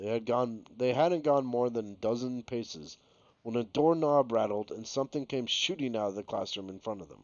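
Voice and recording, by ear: A passage read aloud in a natural voice, with pitch varying in an ordinary way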